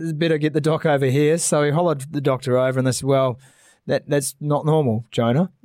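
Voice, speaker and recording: The voice has a New Zealand accent, a dark, mellow tone and a fairly quick pace. Its loudness stays very even on a very clean recording with a silent background. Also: man. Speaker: rugby podcast host. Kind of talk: casual sports chat. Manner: animated.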